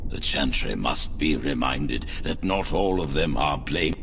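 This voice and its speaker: Putting on a character voice, a man talks fairly slowly amid loud background noise. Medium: short film. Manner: formal, measured.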